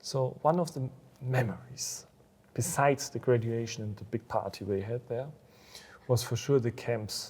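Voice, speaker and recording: Speaking at a moderate pace with long, frequent pauses, a man with a German accent uses a medium pitch, ordinary pitch variation and a somewhat breathy sound. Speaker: school alumnus and business owner. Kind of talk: interview. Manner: halting.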